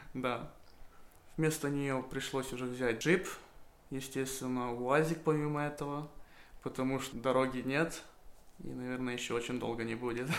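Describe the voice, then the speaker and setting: A man with a medium pitch talks at a moderate pace with fairly even intonation, and the room echo is audible. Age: 20s. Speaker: small livestock farmer. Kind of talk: monologue. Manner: casual.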